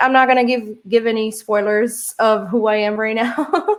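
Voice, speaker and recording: Moderate-paced speech from a woman with a fairly high pitch, in a Portuguese accent. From Brazil. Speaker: social engineer, keynote speaker. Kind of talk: conference keynote talk. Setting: virtual conference. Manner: hesitant, many fillers.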